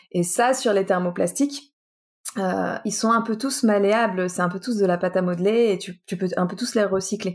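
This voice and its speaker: In an ordinary speaking voice, a woman with a medium pitch talks at a moderate pace with ordinary pitch variation. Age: 20s. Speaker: recycling engineer and trainer. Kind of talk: casual interview.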